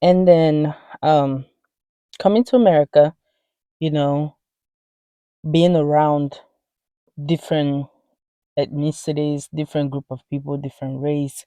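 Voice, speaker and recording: A woman with a very deep, low pitch and a dark, mellow tone speaks fairly slowly with fairly even intonation, long, frequent pauses and big swings in loudness. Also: dry, close sound with no echo, quiet background. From Nigeria, Imo State (Igbo, grew up in Mbano). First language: Igbo. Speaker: vlogger. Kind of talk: casual vlog monologue.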